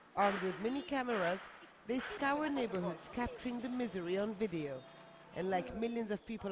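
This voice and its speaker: Noticeable background noise sits under a voice moving at a moderate pace. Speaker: TV news reporter. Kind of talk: TV news report narration.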